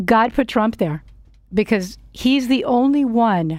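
The speaker is a woman. Her pitch is fairly high. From Miami, US. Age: 50s. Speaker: Trump supporter guest. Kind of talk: casual radio interview. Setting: radio studio.

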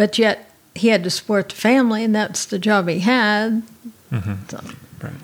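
With noticeable background noise behind her, a woman speaks at a fairly high pitch with ordinary pitch variation and long, frequent pauses. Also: moderate pace. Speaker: missionary. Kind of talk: interview testimony.

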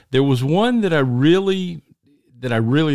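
A man with a Southern US accent speaks at a moderate pace with lively intonation, on a very clean recording with a silent background. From US Deep South. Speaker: podcast host. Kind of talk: casual interview.

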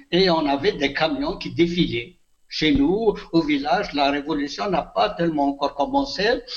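A man's fairly high voice moves at a fairly slow pace with lively intonation. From Algeria, Kabylie (Béjaïa region). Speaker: retired teacher and author. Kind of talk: interview. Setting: phone call. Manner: halting.

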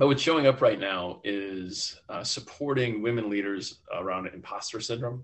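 With an American accent, a man speaks in a normal speaking voice at medium pitch and a moderate pace, with hardly any pauses, ordinary pitch variation and big swings in loudness. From US Midwest. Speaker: entrepreneur and author. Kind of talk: interview.

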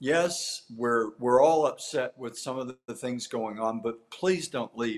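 At a fairly slow pace with hardly any pauses, a man talks in an unremarkable speaking voice of medium pitch, with ordinary pitch variation and big swings in loudness. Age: 60s. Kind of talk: interview.

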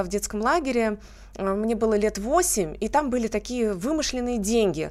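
A woman with an unremarkable speaking voice talks at a fairly quick pace, her fairly high pitch carrying lively intonation. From Russia, Tver region (Kimry). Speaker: beauty pageant winner. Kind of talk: radio interview. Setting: studio.

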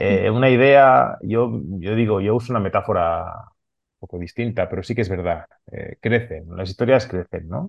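Speaking with a Catalan accent, a man with a fairly low pitch uses lively intonation at a fairly slow pace. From Barcelona, Catalonia, Spain. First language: Catalan (speaking Spanish). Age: 40s. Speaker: comics artist. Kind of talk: interview.

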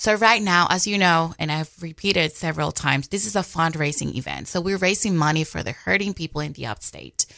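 A woman's fairly low-pitched voice with a Spanish accent, lively intonation, vocal fry and a fairly quick pace. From Dominican Republic. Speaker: communications officer for a charity. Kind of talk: radio interview.

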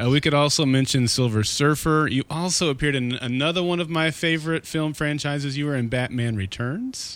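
A man with an unremarkable speaking voice talks at a fairly quick pace, with ordinary pitch variation and hardly any pauses. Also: fairly high pitch for a man. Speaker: podcast host. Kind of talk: podcast interview and intro.

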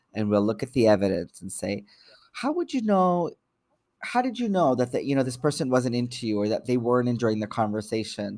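A man's plain, everyday voice at medium pitch, with lively intonation, on a very clean recording with a silent background. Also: fairly quick pace. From Canada, Toronto. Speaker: psychotherapist and social worker. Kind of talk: interview.

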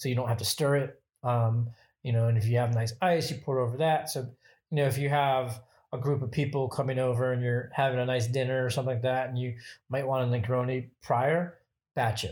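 At a fairly quick pace, a man talks in a somewhat breathy voice with fairly even intonation. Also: medium pitch for a man. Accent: American. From Michigan, US Midwest. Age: 40s. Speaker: bartender and cocktail photographer. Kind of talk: casual interview. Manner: filler-heavy, lots of 'you know' and 'um'.

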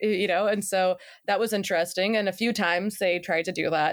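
An ordinary speaking voice at a fairly quick pace, on a very clean recording with a silent background. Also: woman. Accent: American. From Texas, Seguin. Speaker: journalist and podcast producer. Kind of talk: interview.

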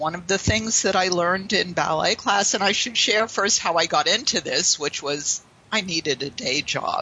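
In a normal speaking voice, a woman speaks at a medium pitch with an American accent. She keeps a moderate pace with ordinary pitch variation and hardly any pauses. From Pittsburgh, Pennsylvania, US. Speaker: sales trainer. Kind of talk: interview.

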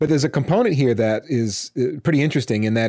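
A man talks at a very fast pace with ordinary pitch variation, captured in a very clean recording against a silent background. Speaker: podcast co-host. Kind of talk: casual podcast discussion. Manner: informal, hesitant, repeats words.

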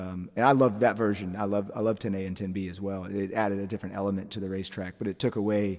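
A man with an American accent talks at a very fast pace. His intonation is fairly even. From US South, Atlanta area, Georgia. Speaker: race car driver. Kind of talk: interview, casual chat.

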